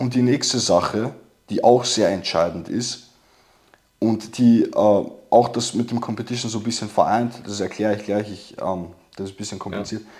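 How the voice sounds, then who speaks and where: This man speaks at a moderate pace in an ordinary speaking voice, medium in pitch, with fairly even intonation. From immigrant background. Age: 20s. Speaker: testosterone course seller. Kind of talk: casual chat.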